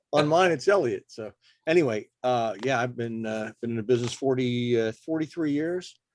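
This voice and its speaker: A man talks at a medium pitch and a moderate pace with ordinary pitch variation, in a plain, everyday voice. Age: 60s. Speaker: photographer. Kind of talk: casual chat. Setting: video call.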